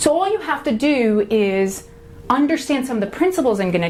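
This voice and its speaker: Over noticeable background noise, a woman with an American accent talks at a fairly quick pace in a high pitch with very wide pitch swings. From Long Island, New York. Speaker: workshop speaker. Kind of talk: motivational workshop talk. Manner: animated.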